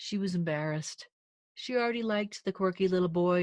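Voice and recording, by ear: A natural voice reads aloud while the background stays quiet.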